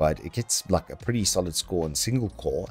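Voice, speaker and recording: A man talks at a moderate pace. Behind him, faint music plays in the background. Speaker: presenter. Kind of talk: product rundown commentary. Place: home room.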